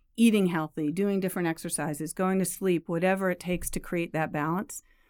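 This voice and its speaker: In a very clean recording with a silent background and a dry, close sound with no echo, the voice moves at a fairly quick pace with ordinary pitch variation. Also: woman. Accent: New York. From New York suburbs. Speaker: parent caregiver and patient advocate. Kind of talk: casual interview.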